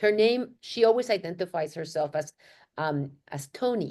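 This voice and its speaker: A woman with a strong Mexican accent talks at a moderate pace, her tone animated and her intonation lively. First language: Spanish. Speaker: marketing and research executive. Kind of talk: panel webinar discussion.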